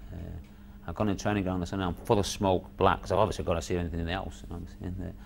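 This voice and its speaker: Against light background noise, a man talks very fast in a very deep, low pitch with vocal fry and fairly even intonation. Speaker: former footballer; interviewee. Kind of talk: recalled interview on football memories; interview answer. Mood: reflective, incredulous. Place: studio.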